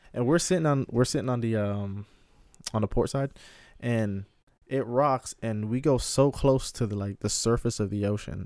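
Very clean audio with a silent background, featuring a plain, everyday voice at moderate speed and ordinary pitch variation. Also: man, medium pitch for a man. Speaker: podcast host. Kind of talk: casual chat. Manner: loud, casual, profane.

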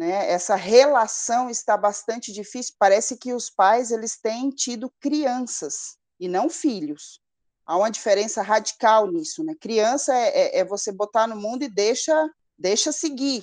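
Against a quiet background, a woman uses an ordinary speaking voice, fairly high in pitch, with lively intonation at a fairly slow pace. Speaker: psychologist and mother. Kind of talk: interview.

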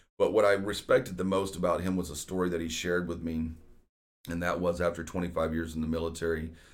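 A man with an American accent, very deep and low in pitch, fairly even in intonation, at a very fast pace. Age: 40s. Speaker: real estate agent and podcast host. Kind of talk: casual solo podcast monologue.

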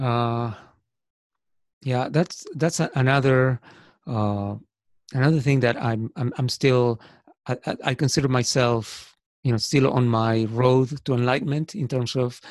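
A man with a medium-pitched voice talks at a fairly slow pace with fairly even intonation and long, frequent pauses. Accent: Spanish. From Argentina. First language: Spanish. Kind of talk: casual interview chat. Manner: hesitant, repeats words.

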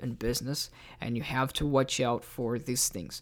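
Moderate pace and medium pitch from a man, in a very clean recording against a silent background. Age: 20s. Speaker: business owner. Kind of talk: solo business podcast monologue. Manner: animated.

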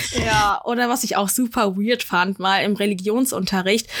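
A woman talks in an unremarkable speaking voice at medium pitch. Her pace is moderate and her intonation fairly even. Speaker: podcast host. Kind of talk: casual chat.

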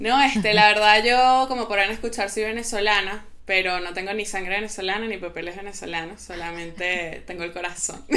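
Bright and sharp in tone, a woman talks with hardly any pauses, fairly even intonation and big swings in loudness. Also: medium pitch for a woman, fairly quick pace. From Venezuela. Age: young. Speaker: psychotherapist. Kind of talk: casual chat. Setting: remote call.

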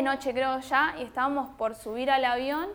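A woman's high-pitched voice at a fairly slow pace. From Argentina (San Nicolás de los Arroyos, Buenos Aires province). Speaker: podcast guest. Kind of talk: casual chat.

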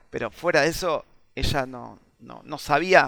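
A man speaks in a monotone with flat intonation and a bright, sharp tone. The recording is very clean, with a silent background. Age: 40s. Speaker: video game design teacher. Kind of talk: casual chat.

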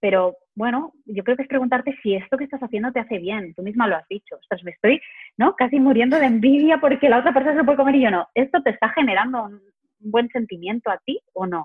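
A woman with a high pitch, big swings in loudness and a very fast pace. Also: lively intonation. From Spain, Barcelona. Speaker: psychologist and health coach. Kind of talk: interview conversation.

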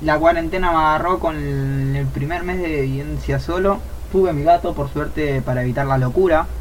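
Audible room echo and noticeable background noise around a man with a Rioplatense accent at a moderate pace. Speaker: streamer, podcast co-host. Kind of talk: casual chat. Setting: live stream.

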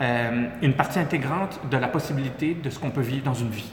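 Speaking in a Quebec accent, the man has a medium pitch, a moderate pace and fairly even intonation, with audible room echo in the recording. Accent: Québécois French. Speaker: entrepreneur. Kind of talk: interview.

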